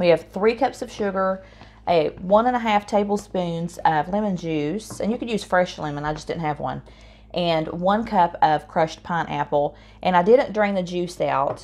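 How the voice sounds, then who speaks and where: A woman in an Appalachian accent talks at a moderate pace with ordinary pitch variation. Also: medium pitch for a woman. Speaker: home cook. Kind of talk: casual cooking demonstration.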